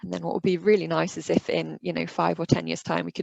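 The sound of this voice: Speaking fast with vocal fry, a woman has a slightly mellow tone and little pitch movement, recorded dry and close with no echo.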